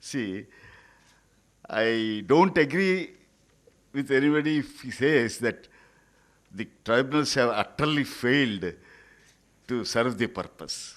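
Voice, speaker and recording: A medium-pitched man talks at a very slow pace with long, frequent pauses. His intonation is lively, and the background is quiet. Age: 80s+. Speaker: senior lawyer or retired judge. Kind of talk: conference speech. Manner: halting.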